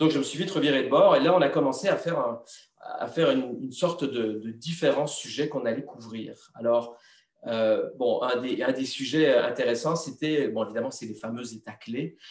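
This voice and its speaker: A man uses a normal speaking voice, fairly high in pitch with ordinary pitch variation, at a moderate pace. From Belgium. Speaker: TV journalist and presenter. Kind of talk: interview answer.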